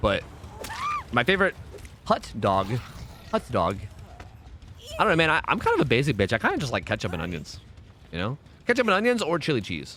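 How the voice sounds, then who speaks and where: Through noticeable background noise, a man with a Pennsylvania accent talks at a very fast pace broken by long, frequent pauses. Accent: Pennsylvania regional. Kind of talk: casual, comedic.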